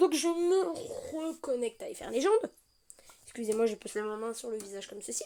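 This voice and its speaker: Her tone is dark and mellow, set at a high pitch for a woman. She speaks with lively intonation. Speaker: gaming youtuber. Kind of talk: gameplay tutorial. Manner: fast; casual, hesitant.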